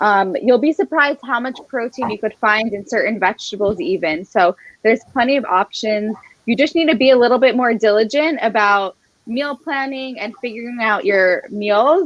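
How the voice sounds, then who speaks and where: A woman with an unremarkable speaking voice talks at a moderate pace, her fairly high pitch rising and falling with lively intonation. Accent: American. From United States. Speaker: nutrition coach. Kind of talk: live cooking class Q&A. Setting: kitchen, live stream.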